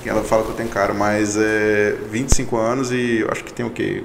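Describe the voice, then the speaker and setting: Noticeable background noise and audible room echo fill the recording as a man talks. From Goiânia, Goiás, Brazil. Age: 20s. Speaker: accounting firm partner. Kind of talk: casual interview chat.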